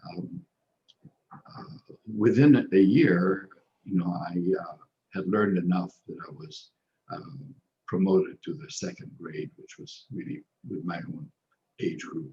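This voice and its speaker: A man with a non-native accent talks at a fairly slow pace in a fairly low, dark, mellow voice, with long, frequent pauses. His pitch swings very widely and his loudness shifts in big swings. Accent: foreign. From Egypt (Cairo). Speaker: social worker. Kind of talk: interview. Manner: halting, many fillers and repetitions.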